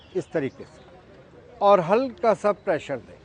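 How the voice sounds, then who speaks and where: The man's voice sits at a high pitch, captured dry and close with no echo. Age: 70s. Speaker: doctor demonstrating exercises for seniors. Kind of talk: exercise demonstration.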